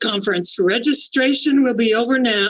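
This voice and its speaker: Fairly high-pitched put-on character voice with a moderate pace. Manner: grumpy, wicked.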